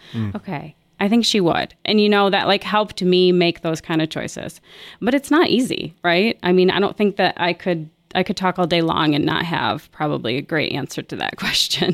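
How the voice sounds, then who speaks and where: With vocal fry and lively intonation, a woman talks at a fairly low pitch. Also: moderate pace. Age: 40s. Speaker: counselor. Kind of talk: casual chat.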